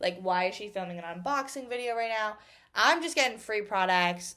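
An ordinary speaking voice with an American accent, lively intonation and a moderate pace, recorded very cleanly against a silent background. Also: woman. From Massachusetts, Boston suburbs. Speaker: podcast host and college student. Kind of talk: casual Q&A monologue.

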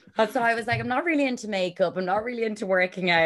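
A woman speaks with an Irish accent. The recording is very clean, with a silent background. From Ireland. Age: 30s. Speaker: yacht crew member and reality TV cast member. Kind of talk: podcast interview.

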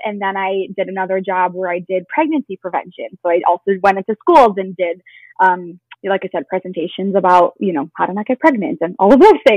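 With an American accent, a woman speaks fairly quickly at medium pitch with ordinary pitch variation. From Chicago suburbs, Illinois. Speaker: yoga instructor and business founder. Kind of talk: casual interview.

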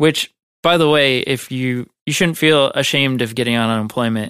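A man with a Midwestern American accent speaks at a medium pitch with fairly even intonation. The sound is dry and close with no echo, on a very clean recording with a silent background. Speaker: video editor. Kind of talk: casual interview. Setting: studio.

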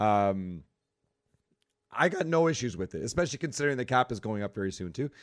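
A man at medium pitch talks very fast with very wide pitch swings and long, frequent pauses. The recording is very clean, with a silent background. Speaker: hockey podcast co-host. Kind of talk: casual chat.

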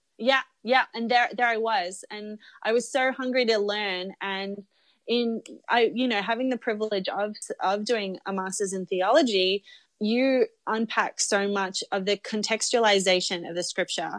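A woman's fairly high voice at a moderate pace with fairly even intonation, dry and close with no echo, on a very clean recording with a silent background. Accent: Australian. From Australia. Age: 30s. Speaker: documentary filmmaker. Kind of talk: casual interview.

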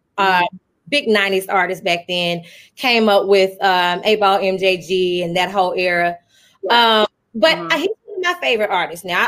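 A woman with a bright, sharp tone speaks at a medium pitch and a moderate pace in a Southern US accent. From Arkansas. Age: 30s. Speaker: radio host. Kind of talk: casual chat.

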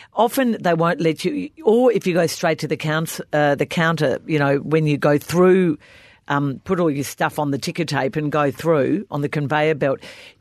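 Against a quiet background, a woman with an Australian accent speaks at a very deep, low pitch with ordinary pitch variation. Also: moderate pace. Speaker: podcast co-host, football journalist. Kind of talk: casual chat. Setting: studio.

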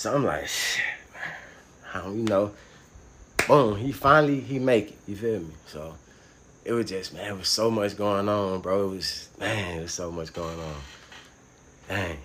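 With an American accent, a man at a fairly low pitch speaks with ordinary pitch variation, long, frequent pauses and big swings in loudness, amid noticeable background noise and audible room echo. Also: moderate pace. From US South, Atlanta (west side). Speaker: former prisoner sharing his story. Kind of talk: casual interview, personal testimony.

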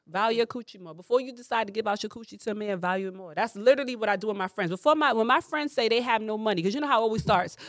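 A woman with a New York accent talks at a very fast pace with hardly any pauses, her pitch fairly high and varying in an ordinary way. Her tone is animated, and her loudness swings widely. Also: very clean recording, silent background. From New York, the Bronx. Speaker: comedian. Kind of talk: casual chat.

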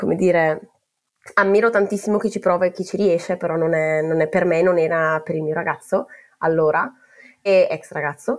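At a fairly quick pace, a woman with a medium pitch talks with ordinary pitch variation. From northern Italy, Val Camonica (Brescia). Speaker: PhD student, expat. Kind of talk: personal storytelling. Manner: halting, many fillers.

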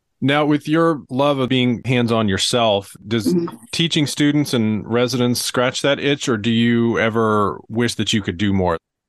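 At a moderate pace with hardly any pauses, a man talks in an unremarkable speaking voice of medium pitch, with ordinary pitch variation, very even loudness, and a quiet background. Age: 40s. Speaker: podcast host, physician. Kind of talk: interview conversation.

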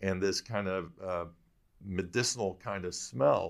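At a fairly slow pace, a man with an American accent speaks on a very clean recording with a silent background. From Michigan, US Midwest. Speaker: whiskey podcast host. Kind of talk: interview, casual chat. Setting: library. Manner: halting.

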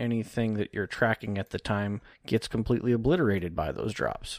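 A man talks in an ordinary speaking voice with fairly low pitch and ordinary pitch variation. The sound is dry and close with no echo, on a very clean recording with a silent background. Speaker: technical analyst. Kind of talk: casual chat about markets, tutorial.

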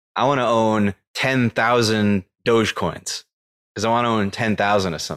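A man speaks in a plain, everyday voice at medium pitch and a moderate pace, with fairly even intonation. The recording is very clean with a silent background, dry and close with no echo. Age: 30s. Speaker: crypto investor. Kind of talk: casual chat.

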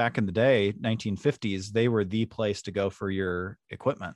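A man talks at a moderate pace with a fairly low pitch and fairly even intonation. The sound is dry and close, with no echo. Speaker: university outreach and marketing staff, archive manager. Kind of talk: casual interview chat. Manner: good conversational cadence.

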